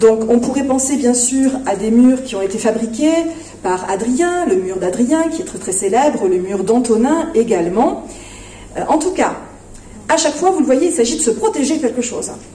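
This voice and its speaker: Through audible room echo and noticeable background noise, a woman speaks at a high pitch with lively intonation and a moderate pace. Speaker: philosophy festival speaker. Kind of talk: lecture. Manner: hesitant, many fillers.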